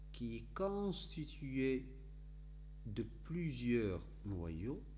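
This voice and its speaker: In a room with audible echo, a man speaks very slowly with a very deep, low pitch, a somewhat breathy, dark and mellow tone, and very wide pitch swings. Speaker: teacher. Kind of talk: lecture. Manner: halting.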